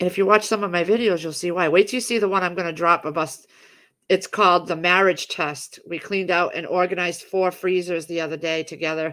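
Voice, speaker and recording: The recording is very clean, with a silent background. A woman with a fairly low pitch speaks very fast, her intonation fairly even. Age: 50s. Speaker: homesteading livestream host. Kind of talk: casual livestream chat. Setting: home livestream. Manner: rambling, hesitant with many fillers.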